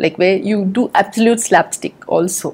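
At a moderate pace, a woman with a medium-pitched voice speaks against noticeable background noise. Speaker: actress. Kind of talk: roundtable discussion.

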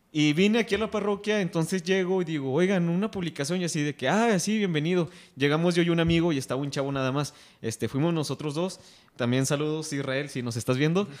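His pitch is fairly high and varies in an ordinary way. The man speaks at a very fast pace. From Mexico. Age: 20s. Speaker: youth group leader, podcast host. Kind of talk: casual panel discussion.

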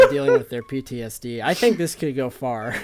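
Noticeable noise runs in the background as the man talks. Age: 20s. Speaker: podcast co-host. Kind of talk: casual chat. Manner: halting.

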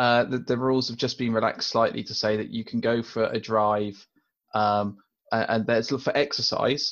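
Monotone and flat in intonation, a man speaks at a medium pitch and a moderate pace. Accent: British. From UK. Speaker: podcast co-host. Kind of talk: casual chat.

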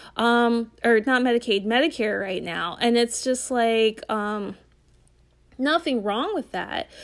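A woman with a fairly high pitch speaks at a very slow pace with ordinary pitch variation. The recording is very clean against a silent background. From northern Delaware. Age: 30s. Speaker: podcast host and actor. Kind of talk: casual rant. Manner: rambling with many fillers.

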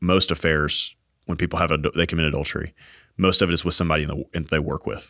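With a bright, sharp tone and a very deep, low pitch, a man talks at a very fast pace in a monotone, flat intonation, on a very clean recording with a silent background. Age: 30s. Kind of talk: casual faith discussion. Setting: studio.

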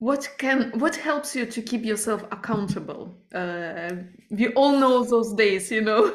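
This woman speaks at a fairly slow pace with a non-native accent. Her voice is fairly high, and its pitch varies in an ordinary way. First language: not English. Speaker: podcast host. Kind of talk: interview conversation.

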